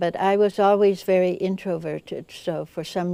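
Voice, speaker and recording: A woman speaks fairly slowly in a dark, mellow tone. Her intonation stays flat and monotone. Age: 80s+. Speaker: interview guest, former UN worker. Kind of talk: interview.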